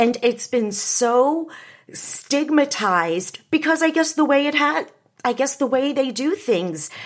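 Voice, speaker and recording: A woman speaks fairly slowly with lively intonation. The background is quiet. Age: 50s. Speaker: podcast host. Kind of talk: solo monologue. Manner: animated.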